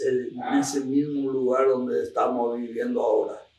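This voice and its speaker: Audible room echo is present. The speaker is a man. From Argentina, Misiones. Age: 80s+. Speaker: elderly farmer recounting local history. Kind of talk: oral history interview. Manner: halting, with repetitions.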